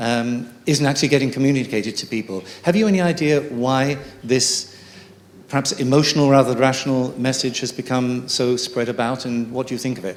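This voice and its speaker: There is noticeable background noise behind a man of medium pitch. He speaks at a fairly quick pace with ordinary pitch variation. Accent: English. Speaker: audience member. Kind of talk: audience question.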